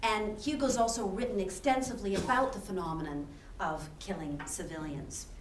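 Speaking at a moderate pace with a Canadian accent, a woman swings her pitch very widely over noticeable background noise. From Canada. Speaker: university professor and institute co-director. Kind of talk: academic panel introduction and lecture. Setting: lecture hall with audience.

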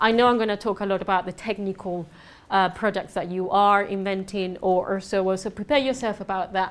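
With a Spanish accent, a woman talks at a fairly quick pace in a medium pitch. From southern Spain. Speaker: conference speaker on business networking. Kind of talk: presentation to a live audience. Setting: stage with audience. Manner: animated.

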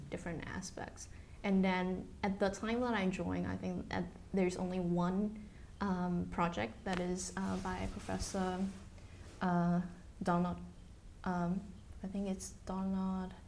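A woman with monotone, flat intonation, long and frequent pauses, and audible room echo. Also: medium pitch for a woman, fairly slow pace. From Taiwan. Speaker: biomedical engineer and company executive. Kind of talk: oral history interview.

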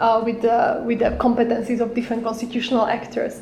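A woman speaks over noticeable background noise. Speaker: academic researcher presenting. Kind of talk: lecture. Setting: venue with a live audience. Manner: halting, with frequent fillers.

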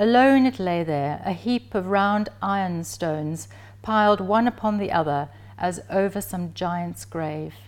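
This woman talks in a plain, everyday voice at a fairly slow pace, her medium pitch showing ordinary pitch variation. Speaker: professor giving a talk. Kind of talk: lecture with passages read aloud from a novel, literary reading. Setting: lecture presentation. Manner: measured, slow and evocative when reading the passage aloud; formal, scholarly.

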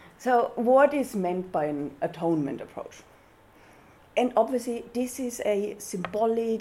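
Over noticeable background noise, a woman with a German accent speaks at a fairly slow pace with lively intonation. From Austria. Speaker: university research fellow. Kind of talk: lecture.

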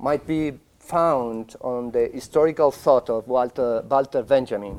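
At a fairly slow pace, a man talks with a Spanish accent. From Spain. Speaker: academic speaker. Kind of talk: conference talk. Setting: stage with audience. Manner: halting.

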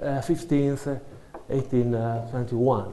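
A man with an Italian accent, a dark, mellow tone, and audible room echo. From Italy. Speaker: academic researcher. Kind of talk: academic talk. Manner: halting.

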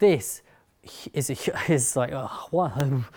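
A man with a London accent speaks at a medium pitch in a dark, mellow tone with ordinary pitch variation, recorded very cleanly against a silent background. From North London, England. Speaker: writer and speaker. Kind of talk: talk to an audience.

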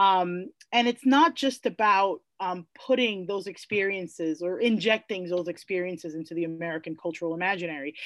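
A woman with a New York accent speaks at a fairly quick pace with ordinary pitch variation, in a dry, close sound with no echo and a quiet background. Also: medium pitch for a woman. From New York City, the Bronx. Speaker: classics professor. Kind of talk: interview. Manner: halting.

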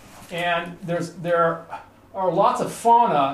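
A man speaks at a high pitch. Room echo is audible. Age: 50s. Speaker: researcher giving a talk on Ebola ecology. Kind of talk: lecture. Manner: halting, many fillers and repetitions.

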